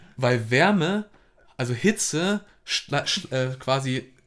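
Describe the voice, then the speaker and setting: His pitch is fairly high. This man's intonation is lively. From northern Germany, Hamburg. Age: 20s. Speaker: student podcast co-host. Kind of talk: casual chat.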